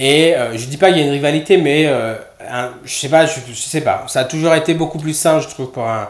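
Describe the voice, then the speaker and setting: Amid noticeable background noise and audible room echo, a man speaks at a fairly quick pace. His pitch is fairly high, with ordinary variation. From Réunion. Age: 30s. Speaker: nurse. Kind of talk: casual chat. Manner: halting.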